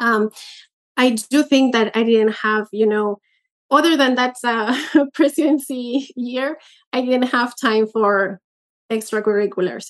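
A woman speaks at a high pitch with a Spanish accent. Her pauses are long and frequent. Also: ordinary pitch variation, fairly slow pace. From Peru. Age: 30s. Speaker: chess master. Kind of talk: interview. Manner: halting, with many fillers.

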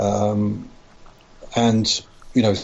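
A man's fairly low, somewhat breathy voice in a London accent, monotone with flat intonation. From London, Tottenham. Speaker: podcast guest. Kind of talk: casual chat.

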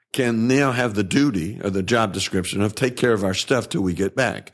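With a Southern US accent, a man of medium pitch speaks at a moderate pace with ordinary pitch variation on a very clean recording with a silent background. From Tennessee. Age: 70s. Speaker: worship pastor. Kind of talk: interview.

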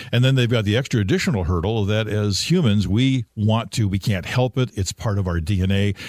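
Speaking at a fairly quick pace with hardly any pauses, a man keeps a fairly low pitch with ordinary pitch variation. His loudness is very even, and the sound is dry and close with no echo. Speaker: veteran radio personality. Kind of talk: casual interview, reminiscing. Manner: relaxed, storytelling.

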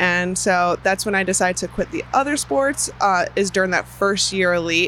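Noticeable background noise sits behind a woman in an American accent, her delivery at a moderate pace. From US Midwest, Chicago area. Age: 20s. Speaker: professional BMX racer. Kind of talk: interview.

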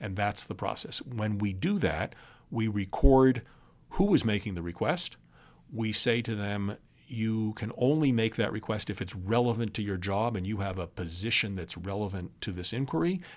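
A man with an American accent speaks in an unremarkable speaking voice, fairly low in pitch with ordinary pitch variation. His pace is moderate, and the recording is very clean with a silent background. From New York, then Texas from about second grade. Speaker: government lawyer, intelligence agency general counsel. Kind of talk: interview on national security law. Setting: recording in an office on a university campus.

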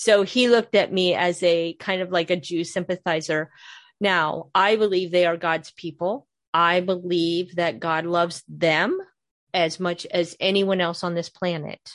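A woman in a Midwestern American accent, fairly low-pitched with fairly even intonation, at a fairly slow pace against a quiet background. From northern Ohio, near Cleveland. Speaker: podcast host, author and Bible teacher. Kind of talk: casual interview chat.

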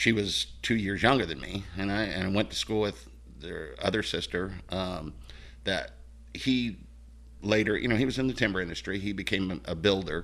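An American accent with vocal fry, lively intonation and a moderate pace. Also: man, fairly low pitch for a man. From Oregon, Mill City. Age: 50s. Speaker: guest. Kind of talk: casual chat.

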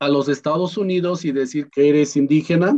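With a Michoacán accent, a man speaks at a fairly high pitch that varies in an ordinary way. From Mexico, Michoacán, P'urhépecha plateau. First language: P'urhépecha (speaking Spanish). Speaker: language teacher and migrant activist. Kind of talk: interview.

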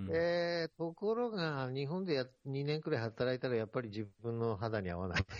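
At a moderate pace, a man talks in a medium pitch with very wide pitch swings. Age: 60s. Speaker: international development consultant. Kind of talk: interview.

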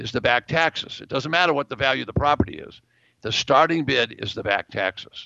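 This man has a fairly high pitch with vocal fry and lively intonation. He talks at a moderate pace with big swings in loudness. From New England. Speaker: real estate investment educator. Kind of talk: interview.

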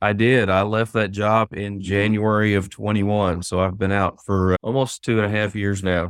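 A man with a fairly low pitch speaks in an Arkansas accent with monotone, flat intonation. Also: moderate pace. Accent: Southern US (Arkansas). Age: 50s. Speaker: author. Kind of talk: interview chat.

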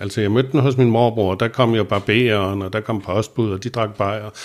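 Fairly low male voice, a very clean recording over a silent background. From Copenhagen, Vesterbro. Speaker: recovering alcoholic telling his story. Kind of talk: personal testimony interview. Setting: studio in Copenhagen. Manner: hesitant with many fillers and repetitions.

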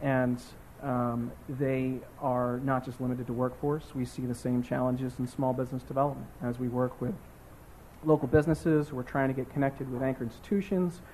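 A man's somewhat breathy voice with a dark, mellow tone, medium pitch, fairly even intonation and fairly quick pace. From Baltimore, Northeast. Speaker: nonprofit director. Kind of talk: panel discussion.

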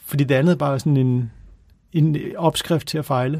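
A man's fairly high, somewhat breathy voice with a dark, mellow tone and fairly even intonation. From Copenhagen, Denmark. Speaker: author. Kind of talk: casual chat. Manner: halting.

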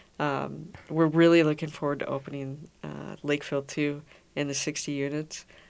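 In a very clean recording with a silent background, a woman speaks with an Upper Midwest accent. Her very deep, low voice moves at a moderate pace in a monotone, flat intonation. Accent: Upper Midwest American. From Minnesota, Minnetonka. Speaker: founder of a memory care community. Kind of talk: radio interview. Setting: radio studio.

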